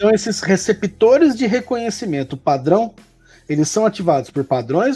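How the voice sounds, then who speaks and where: With a São Paulo interior accent, a man speaks at a moderate pace in a high pitch with very wide pitch swings while music plays in the background. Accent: caipira accent of inner São Paulo. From interior of São Paulo state, Brazil. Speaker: professor. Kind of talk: educational conversation. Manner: casual, explanatory.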